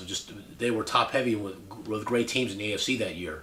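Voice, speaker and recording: A man speaks at a fairly quick pace with audible room echo and noticeable background noise. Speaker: sports picks vlogger. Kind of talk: casual sports commentary monologue. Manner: halting, repetitive.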